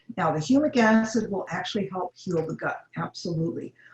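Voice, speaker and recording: Lively intonation from a woman, her voice somewhat breathy. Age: 70s. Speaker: health educator. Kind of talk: webinar Q&A.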